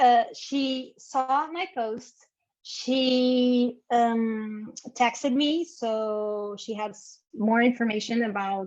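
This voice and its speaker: A woman with a non-native accent, high pitch and ordinary pitch variation. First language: not English. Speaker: business owner, brand designer. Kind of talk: interview. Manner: halting.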